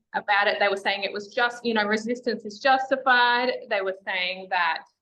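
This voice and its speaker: Speaking with an Australian accent, a woman talks at a moderate pace and fairly high pitch with fairly even intonation. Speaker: feminist educator and activist. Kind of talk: interview.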